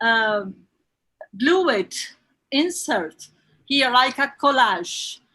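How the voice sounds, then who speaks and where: A woman's raised, projected voice, high and bright with a sharp tone, very wide pitch swings and a very slow pace. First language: Portuguese. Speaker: bookseller and event host. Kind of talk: panel introduction. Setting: live stream from own shop. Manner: halting.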